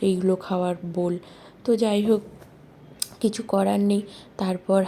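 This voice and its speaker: At a medium pitch, a woman speaks in a flat, monotone way. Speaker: vlogger. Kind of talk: casual vlog narration. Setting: at home, kitchen.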